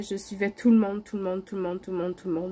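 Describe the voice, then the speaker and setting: This woman's voice has a dark, mellow tone, a medium pitch and fairly even intonation. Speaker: craft YouTuber. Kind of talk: casual vlog.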